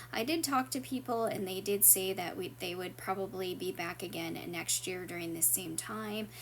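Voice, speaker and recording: A woman speaks at a moderate pace with hardly any pauses and vocal fry. Her medium pitch swings very widely. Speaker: art channel vlogger. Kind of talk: travel vlog narration. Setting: walking through a train station. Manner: casual, with frequent fillers.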